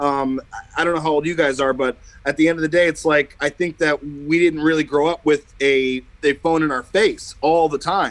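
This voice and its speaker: The speaker has an unremarkable speaking voice. The pace is moderate and the intonation fairly even. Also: man, fairly high pitch for a man. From New Jersey, Bergen County. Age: 30s. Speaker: musician. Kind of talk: casual chat.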